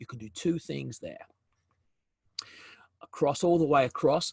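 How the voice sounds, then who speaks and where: Over a quiet background, a man sounds somewhat breathy, with a dry, close sound and no echo. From South Africa, Durban. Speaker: business development consultant, webinar presenter. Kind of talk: webinar presentation. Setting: video call webinar. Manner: hesitant, many fillers and repetitions.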